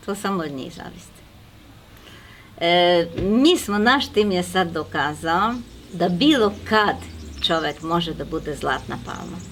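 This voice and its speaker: Woman with a fairly low pitch and lively intonation, at a very slow pace with long, frequent pauses. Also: big swings in loudness. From Serbia. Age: 60s. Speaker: network marketing manager. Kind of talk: interview.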